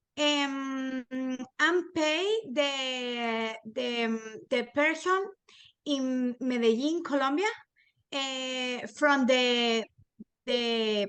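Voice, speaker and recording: At a very slow pace with long, frequent pauses, a woman speaks in a high voice with a strong Spanish accent. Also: ordinary pitch variation. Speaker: small business owner, student. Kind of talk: class discussion. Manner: halting.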